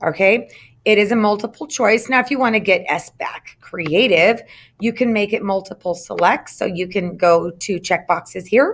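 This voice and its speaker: A woman with a plain, everyday voice speaks at medium pitch and a moderate pace with ordinary pitch variation. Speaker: instructional technology trainer for teachers. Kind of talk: screen-recorded tutorial. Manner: casual with frequent fillers.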